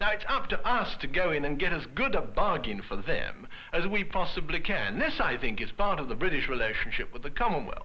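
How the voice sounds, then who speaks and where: Over noticeable background noise, the voice runs on with hardly any pauses and very wide pitch swings. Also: man, high pitch for a man, fairly quick pace. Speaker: economist. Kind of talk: interview answer.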